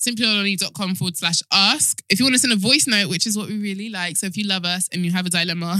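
The voice reads in a natural manner.

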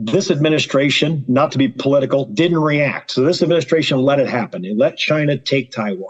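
A man with an unremarkable speaking voice talks at a fairly high pitch. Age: 50s. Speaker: agricultural policy lobbyist and wargaming club member. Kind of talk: casual interview chat.

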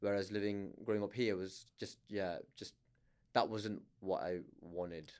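A man with a Lancashire accent speaks at a fairly low pitch in a flat monotone. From northern England, Blackburn, Lancashire. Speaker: stand-up comedian. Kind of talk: casual chat. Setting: studio.

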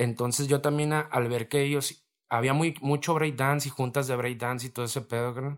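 A man at medium pitch, monotone and flat, at a moderate pace on a very clean recording with a silent background. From Mexico, Reynosa, Tamaulipas. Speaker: rapper. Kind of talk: casual chat.

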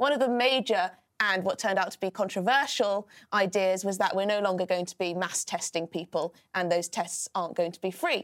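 A woman with a British accent, medium pitch and ordinary pitch variation, at a fairly quick pace with big swings in loudness, in a dry, close sound with no echo. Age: 20s. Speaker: political commentator. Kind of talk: casual chat.

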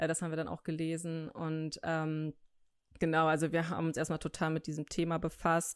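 A woman's very deep, low voice, dry and close with no echo, on a very clean recording with a silent background. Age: 20s. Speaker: design student. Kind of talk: casual chat. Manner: hesitant, many fillers.

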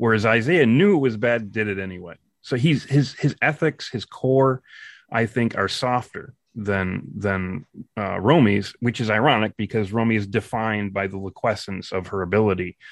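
A man with a fairly low pitch talks at a moderate pace in a normal speaking voice. The background is quiet and the sound is dry and close, with no echo. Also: ordinary pitch variation. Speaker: chief writer and voice actor of an audio drama. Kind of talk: casual chat.

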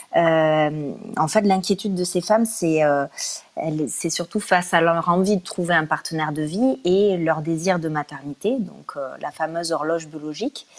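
At a fairly slow pace with hardly any pauses, a woman speaks in a fairly low pitch with ordinary pitch variation. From Toulouse, southern France. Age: 30s. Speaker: guest sharing personal experience. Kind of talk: testimony. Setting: live stream. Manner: hesitant, many fillers.

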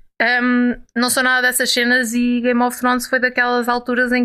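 The voice has a bright, sharp tone and moves at a fairly quick pace on a very clean recording with a silent background. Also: woman. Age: 20s. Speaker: podcast co-host. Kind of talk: casual chat.

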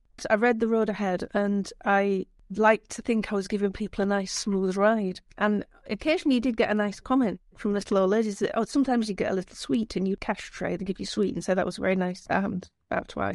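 In a Yorkshire accent, a woman talks at a very fast pace with a medium pitch and fairly even intonation. The sound is dry and close with no echo, and the background is quiet. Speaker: screenwriter. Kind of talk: interview. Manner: halting.

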